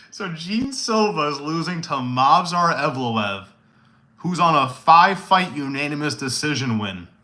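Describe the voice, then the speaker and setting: Shouting loudly with a bright, sharp tone, a man at a fairly high pitch uses lively intonation at a fairly slow pace, with audible room echo. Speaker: MMA streamer. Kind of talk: casual live stream chat with viewers. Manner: loud, yelling; animated.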